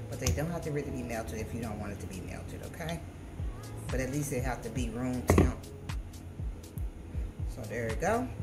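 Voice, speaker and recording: A woman talks at a moderate pace with music in the background. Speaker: home cooking vlogger. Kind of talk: casual vlog chat and tutorial. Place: kitchen.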